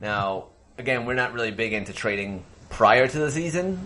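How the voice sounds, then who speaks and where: A man, using an unremarkable speaking voice, talks at a moderate pace. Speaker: fantasy football podcast host. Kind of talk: casual banter about fantasy football.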